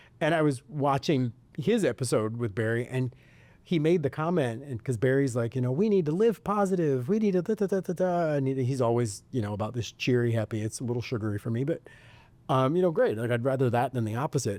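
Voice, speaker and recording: A man's medium-pitched voice with an American accent, a dark, mellow tone, lively intonation and a very fast pace. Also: very clean recording, silent background. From US Midwest, suburb of Detroit. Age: 40s. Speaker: podcast host. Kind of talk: casual chat.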